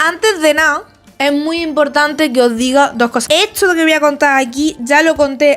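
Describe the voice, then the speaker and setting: A woman talks at a moderate pace. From Spain, small town. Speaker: manga video essayist. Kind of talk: casual video essay talk to camera. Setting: home, makeshift recording spot. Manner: chatty, informal.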